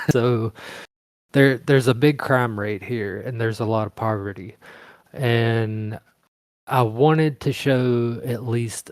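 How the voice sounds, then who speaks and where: With a Mississippi accent, a man speaks at a very slow pace and a medium pitch, with fairly even intonation and long, frequent pauses. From Mississippi, US. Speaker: fiction writer. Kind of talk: interview Q&A.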